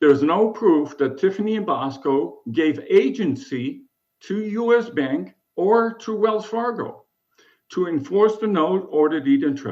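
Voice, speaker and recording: A man's voice with very wide pitch swings at a fairly slow pace, in audible room echo. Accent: German. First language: German. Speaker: self-represented appellant. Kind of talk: court oral argument. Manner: formal.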